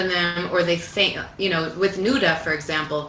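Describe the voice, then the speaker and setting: A woman with a Canadian accent at a moderate pace and fairly low pitch, with fairly even intonation, audible room echo and noticeable background noise. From Canada, Italian Canadian family. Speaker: singer-songwriter. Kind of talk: interview conversation. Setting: livestream from a clubhouse.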